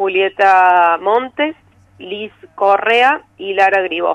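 Very slow, medium-pitched speech from a woman, with ordinary pitch variation. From Argentina, Córdoba. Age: 30s. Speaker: film director. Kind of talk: interview. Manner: hesitant, many fillers.

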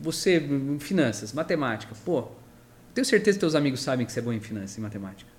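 Vocal fry runs through the man's speech at a very fast pace. His pitch swings very widely. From Brazil, São Paulo. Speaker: construction company founder. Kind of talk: interview.

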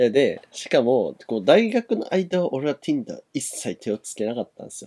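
Recorded dry and close with no echo, a man with a fairly high pitch and a dark, mellow tone speaks at a moderate pace, with very wide pitch swings and big swings in loudness. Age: 20s. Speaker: podcast co-host. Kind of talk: casual chat.

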